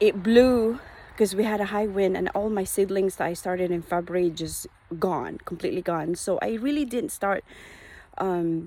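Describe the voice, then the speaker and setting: A woman's dark, mellow tone at a medium pitch. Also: ordinary pitch variation, moderate pace. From Philippines. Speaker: hobby gardener vlogger. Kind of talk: casual vlog walkthrough. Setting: outdoors in garden. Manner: halting, many fillers.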